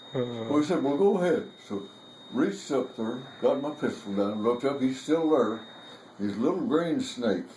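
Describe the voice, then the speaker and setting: Very wide pitch swings mark a man's fairly high voice at a moderate pace. Noticeable background noise is present. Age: 80s+. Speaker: war veteran. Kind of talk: storytelling interview.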